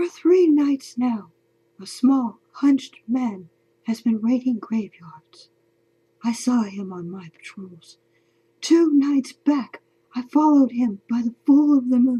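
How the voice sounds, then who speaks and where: In a put-on character voice, a woman speaks at a high pitch. Her pace is fairly slow. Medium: read story. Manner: formal, measured, guarded.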